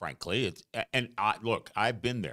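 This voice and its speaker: The tone of this man's voice is bright and sharp. He keeps a moderate pace. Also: dry, close sound with no echo. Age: 70s. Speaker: lay co-host of a church faith show. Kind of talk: casual faith discussion.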